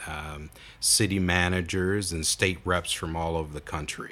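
In an American accent, a man with a very deep, low pitch and a bright, sharp tone speaks with fairly even intonation amid audible room echo. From Toledo, Ohio, US Midwest. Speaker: judge. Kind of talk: interview. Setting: courthouse.

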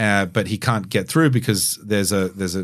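A man with a plain, everyday voice speaks at a moderate pace and a fairly low pitch, with ordinary pitch variation, in a very clean recording over a silent background. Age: 40s. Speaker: DJ and keynote speaker. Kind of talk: casual chat.

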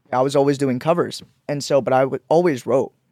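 A man's fairly high, dark, mellow voice at a fairly quick pace, with fairly even intonation and a dry, close sound with no echo. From born in Pakistan, raised in Georgia and Florida, US. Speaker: musician, songwriter and producer. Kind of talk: casual interview chat.

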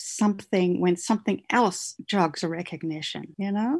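The speaker, somewhat breathy and with an Australian accent, talks at a moderate pace against a quiet background. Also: woman. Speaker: novelist. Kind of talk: casual interview.

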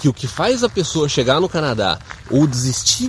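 Noticeable background noise sits behind a man talking. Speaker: immigration advice video host. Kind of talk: casual Q&A video.

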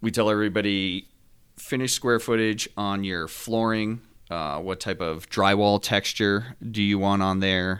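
With an American accent and an ordinary speaking voice, a man talks at a fairly slow pace and fairly low pitch, keeping his intonation fairly even. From Northeast New Jersey. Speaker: home builder. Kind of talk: podcast interview.

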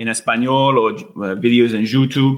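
A man's very slow, fairly evenly intoned speech in a medium pitch, with an English accent. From United States. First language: English (speaking Spanish). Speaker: Spanish learner, host's husband. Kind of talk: casual interview chat. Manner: halting, with many fillers and repetitions.

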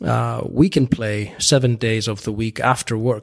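A man with an Icelandic accent speaks at a fairly low pitch. His pitch varies in an ordinary way, and the recording is very clean with a silent background. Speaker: golf course architect. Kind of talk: interview. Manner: halting.

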